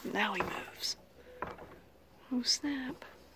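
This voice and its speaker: Noticeable background noise surrounds this woman. She speaks at a very slow pace in a high pitch. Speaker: horse owner. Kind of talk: casual talk to camera.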